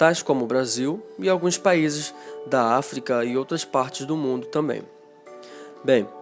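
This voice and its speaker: Music plays in the background as a man speaks at a very slow pace. His voice is fairly high-pitched with lively intonation. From Rio de Janeiro, Brazil. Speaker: Portuguese language teacher. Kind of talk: educational podcast talk. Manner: casual, conversational.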